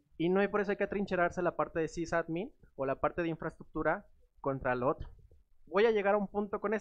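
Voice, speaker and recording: A man talks at a very fast pace with ordinary pitch variation over a quiet background. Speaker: tech speaker. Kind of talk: conference talk. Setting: stage with audience. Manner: casual, joking. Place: meeting room.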